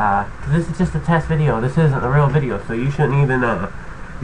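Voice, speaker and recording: Speaking at a very fast pace, a man shows ordinary pitch variation. Light background noise can be heard. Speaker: tutorial maker. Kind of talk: casual vlog chat. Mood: irritated, swearing, ranting. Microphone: webcam.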